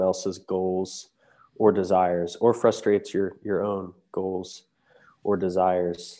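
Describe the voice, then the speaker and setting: A man talks at a fairly slow pace with a Midwestern American accent and a dark, mellow tone. The background is quiet. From US Midwest, southeast Ohio. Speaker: campus ministry staff. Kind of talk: interview on faith topic.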